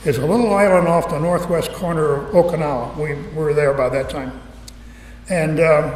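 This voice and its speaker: With noticeable background noise behind him, a man speaks at a moderate pace in a fairly high pitch. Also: ordinary pitch variation. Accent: American. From Connecticut, now North Carolina. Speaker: retired B-25 pilot and military veteran giving a museum talk. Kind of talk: live public talk to an audience, storytelling. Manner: conversational, humorous, with frequent hesitations.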